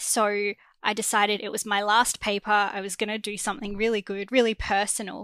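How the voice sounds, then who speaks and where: A woman with an Australian accent speaks at a moderate pace and medium pitch, her bright, sharp tone held in a monotone, flat intonation, on a very clean recording with a silent background and a dry, close sound with no echo. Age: 20s. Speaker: graduate student. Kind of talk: casual chat.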